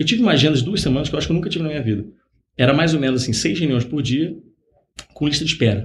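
A man's fairly high, somewhat breathy voice at a very fast pace, lively in intonation, broken by long, frequent pauses. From Rio de Janeiro, Brazil. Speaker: startup founder, former executive. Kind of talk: interview. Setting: podcast.

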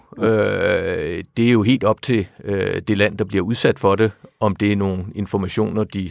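A man's fairly low voice at a moderate pace, ordinary in pitch variation, on a very clean recording with a silent background. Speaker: retired diplomat. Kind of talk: interview. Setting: studio. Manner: halting.

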